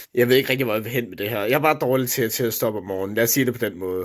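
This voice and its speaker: The recording is very clean with a silent background, and the man's medium-pitched voice shows ordinary pitch variation. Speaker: vlogger. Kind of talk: casual vlog monologue. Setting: at home, own room. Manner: hesitant, many fillers.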